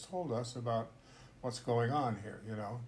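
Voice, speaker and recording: With an American accent, a man talks at medium pitch amid audible room echo. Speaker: podcast host, intercultural trainer. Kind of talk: casual discussion.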